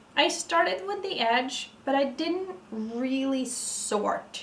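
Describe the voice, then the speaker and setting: Noticeable background noise and audible room echo surround a woman's voice. She speaks at a high pitch with very wide pitch swings. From Norway. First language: Norwegian. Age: 30s. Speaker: vlogger. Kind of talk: casual chat. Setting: at home, evening, ceiling light. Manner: halting.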